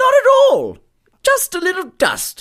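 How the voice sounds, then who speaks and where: Putting on a squeaky character voice with an extremely high pitch, a man talks at a fairly slow pace. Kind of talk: comic radio drama. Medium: audio drama. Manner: genteel, formal, effusive.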